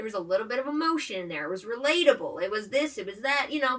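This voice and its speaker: A woman speaks in an animated tone at a high pitch with very wide pitch swings. Noticeable background noise runs underneath. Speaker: movie review vlogger. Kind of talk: casual vlog commentary. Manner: fast when excited.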